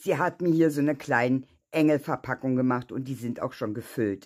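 A woman at a moderate pace, ordinary pitch variation, quiet background. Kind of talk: casual vlog chat. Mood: touched, grateful.

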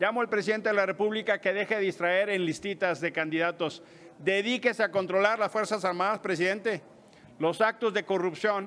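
A high-pitched man at a fairly quick pace, with fairly even intonation. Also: very even loudness. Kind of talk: press conference statement. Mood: firm, accusatory. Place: hall. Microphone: podium.

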